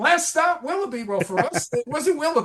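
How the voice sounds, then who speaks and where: Over noticeable background noise, a man with an American accent talks at a fairly quick pace in an animated tone, his pitch swinging very widely. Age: 60s. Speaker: podcast guest, music fan. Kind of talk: casual chat.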